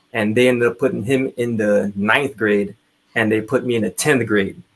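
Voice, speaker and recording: Medium-pitched male voice in a Trinidadian accent, with fairly even intonation at a moderate pace. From Trinidad (Laventille). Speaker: army veteran. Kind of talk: interview storytelling.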